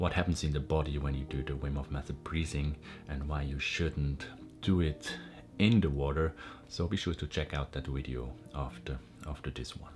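Clear music plays in the background. A man speaks over it at a moderate pace in a very deep, low pitch. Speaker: wellness YouTuber. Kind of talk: explanatory tutorial talk. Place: home room.

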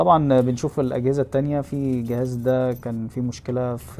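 A dark, mellow tone with monotone, flat intonation over light background noise. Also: man. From Egypt, Zagazig; Egypt. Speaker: phone repair technician and YouTuber; YouTuber. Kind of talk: vlog narration. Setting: repair shop workroom. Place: workshop. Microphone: phone near.

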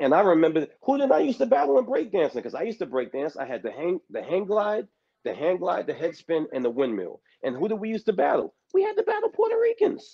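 A man talks at a very fast pace in a New York accent. His tone is animated, and the background is quiet. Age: 50s. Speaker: panel participant in live stream. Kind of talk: heated debate. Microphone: video call.

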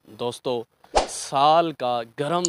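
A man's very slow delivery, fairly even intonation, and dry sound with no echo. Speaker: field reporter. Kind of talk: news report to camera. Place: open country. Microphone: handheld.

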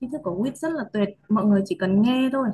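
Her pitch is fairly high and somewhat breathy, with ordinary variation. The woman speaks at a moderate pace. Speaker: course participant. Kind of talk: sharing reflections in a video call.

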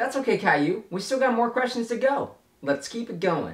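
The speaker is a man. There is audible room echo and light background noise. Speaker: YouTuber. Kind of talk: casual vlog chat, game commentary. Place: home room.

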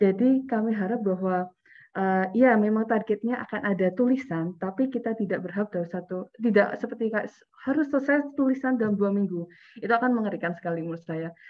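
With ordinary pitch variation, a woman speaks at a very fast pace. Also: quiet background. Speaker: event organizer; workshop facilitator. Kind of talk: workshop announcements. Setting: video call. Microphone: video call.

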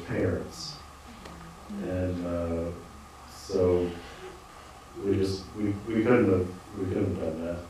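Strong room echo and light background noise surround a man speaking at a fairly slow pace in a very deep, low pitch. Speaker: farmer on a panel. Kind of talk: panel discussion answer. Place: hall. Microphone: handheld.

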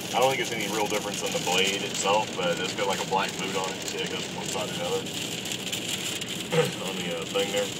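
A man talks at a very fast pace with ordinary pitch variation. Loud background noise runs behind him. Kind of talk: casual chat. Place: car. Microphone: phone near.

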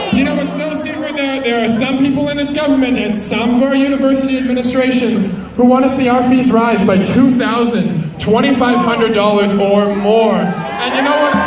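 The speech runs on with hardly any pauses. Audible room echo and background crowd noise surround it. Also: moderate pace. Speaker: speaker. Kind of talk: protest speech. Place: street.

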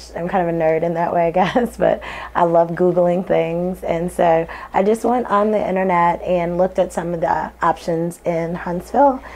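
With an American accent and fairly even intonation, a woman talks at a moderate pace over light background noise. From St. Louis, Missouri; Missouri. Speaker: LASIK patient. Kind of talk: testimonial. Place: office. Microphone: lapel.

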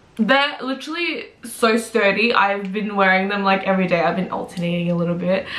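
A woman speaks with hardly any pauses and ordinary pitch variation. Room echo is audible. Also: fairly quick pace. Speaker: fashion vlogger. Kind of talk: casual vlog chat. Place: home room. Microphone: camera far.

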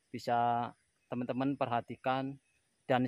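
A man speaks against a quiet background. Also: dry sound with no echo. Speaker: farm worker vlogger. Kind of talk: casual vlog chat. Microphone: phone near.

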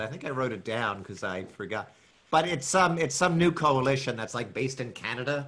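A man's voice at a moderate pace, with lively intonation. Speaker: guest, show creator. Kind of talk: casual podcast chat. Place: home room. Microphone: video call.

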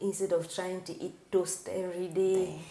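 A woman speaks in a dark, mellow tone with monotone, flat intonation at a moderate pace, with audible room echo. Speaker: guest. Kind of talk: interview answer while cooking. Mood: warm, cheerful. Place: kitchen.

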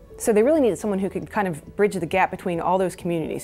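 Talking at a very fast pace over faint background music, a woman shows ordinary pitch variation. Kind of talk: interview answer. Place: studio. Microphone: lapel.

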